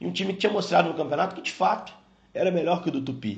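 A man speaks with vocal fry and lively intonation. The room echo is audible. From Brazil, Juiz de Fora (Minas Gerais). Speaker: sports TV commentator. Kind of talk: casual recollection.

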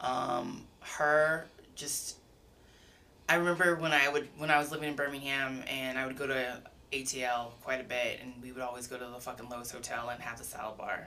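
A woman with an American accent speaks at a moderate pace and a very deep, low pitch. Noticeable background noise and audible room echo fill the recording. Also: fairly even intonation. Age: 30s. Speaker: chef. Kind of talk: casual chat. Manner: rambling.

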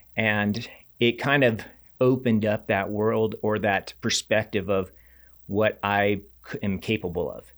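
An unremarkable speaking voice with an American accent talks at a fairly slow pace with fairly even intonation, captured in a very clean recording with a silent background. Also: man, fairly low pitch for a man. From Reno, Nevada. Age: 40s. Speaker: ultra-endurance coach and athlete. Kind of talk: casual interview.

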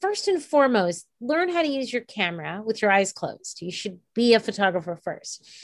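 Over a quiet background, a woman with a fairly high pitch talks at a moderate pace with hardly any pauses, her pitch swinging very widely. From New York, Puerto Rican heritage. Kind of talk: interview.

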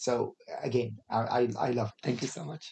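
A man talks at a fairly quick pace with an Arabic accent. His tone is dark and mellow, and somewhat breathy. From Kuwait. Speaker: podcast host. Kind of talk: casual interview chat. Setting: studio. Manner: halting, many fillers.

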